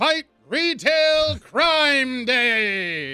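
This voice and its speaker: Faint music plays in the background as a man in a put-on character voice speaks extremely high and with a raised, projected voice. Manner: heroic, proud, declarative.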